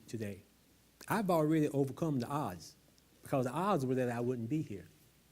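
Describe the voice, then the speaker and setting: Here is a man with a fairly high pitch. He speaks with a slight Southern US accent. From US South. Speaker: speaker at a public talk. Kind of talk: public talk.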